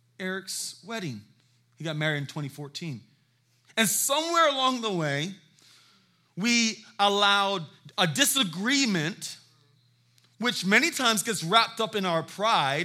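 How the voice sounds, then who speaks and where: In a very clean recording with a silent background, a man speaks in a raised, projected voice that is high-pitched, bright and sharp, his tone animated with very wide pitch swings. His pace is fairly slow, with long, frequent pauses. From South Carolina (Hilton Head), moved from San Diego as a child. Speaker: guest pastor. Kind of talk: sermon. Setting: church with congregation.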